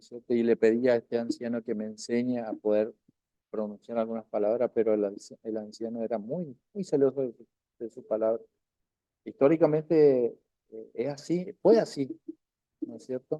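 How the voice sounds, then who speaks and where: Speaking at a moderate pace with medium pitch and ordinary pitch variation, a man has a dark, mellow tone and big swings in loudness, in a dry, close sound with no echo. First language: Qom (Toba) (speaking Spanish). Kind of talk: online language class. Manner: halting, with frequent fillers and repetitions.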